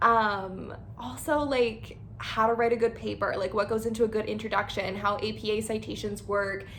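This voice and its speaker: Vocal fry runs through this woman's speech. Her pace is moderate and her intonation fairly even. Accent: western Canadian. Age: 20s. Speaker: lifestyle vlogger. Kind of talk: casual channel introduction. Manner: casual, filler-heavy (like, um).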